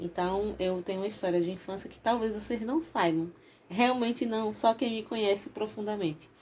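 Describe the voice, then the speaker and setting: With an ordinary speaking voice, a woman talks at a moderate pace and fairly high pitch, with ordinary pitch variation and big swings in loudness. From Bahia, Brazil (Salvador), raised in Sergipe. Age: 40s. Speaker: YouTuber. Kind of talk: casual vlog storytelling.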